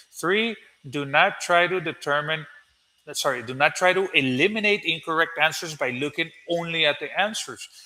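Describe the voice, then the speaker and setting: A man with a Spanish accent talks in a high pitch with a bright, sharp tone. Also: ordinary pitch variation, moderate pace. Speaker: English teacher. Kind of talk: tutorial. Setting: live stream. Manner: halting.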